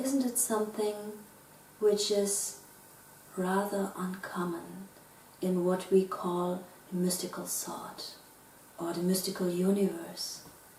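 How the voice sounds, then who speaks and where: A woman with a German accent speaks at a medium pitch and a very slow pace, with long, frequent pauses. Noticeable background noise and audible room echo are present. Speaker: philosopher. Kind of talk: lecture. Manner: formal.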